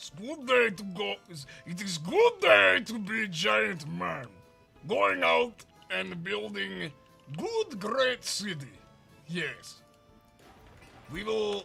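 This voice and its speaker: Faint music plays behind a man doing a put-on character voice at a high pitch in a strong Russian accent. He speaks at a very slow pace, with long, frequent pauses. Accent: heavy Russian-style. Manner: proud, cheerful.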